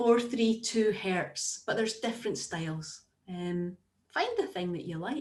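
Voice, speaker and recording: The speaker is a woman with a somewhat breathy voice. She talks at a fairly slow pace. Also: fairly high pitch for a woman, lively intonation. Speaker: therapist, former teacher. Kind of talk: Q&A at online talk.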